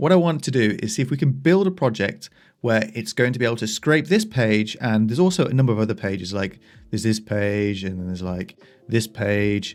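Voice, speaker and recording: A man with an English accent at medium pitch, lively intonation and a fairly quick pace, music in the background. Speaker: software developer. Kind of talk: casual tutorial. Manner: casual, with fillers and self-corrections.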